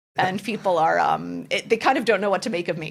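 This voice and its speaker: A woman speaks with vocal fry. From US, Washington DC area, French family. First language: French. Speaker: general counsel, corporate lawyer. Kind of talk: interview conversation. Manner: enthusiastic.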